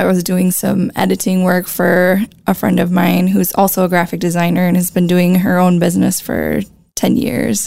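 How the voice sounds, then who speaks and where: This woman speaks at a moderate pace in a fairly low pitch with fairly even intonation. Her loudness stays very even, and noticeable background noise is present. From US Midwest, La Crosse, Wisconsin. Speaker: visual artist and graphic designer. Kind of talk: interview conversation.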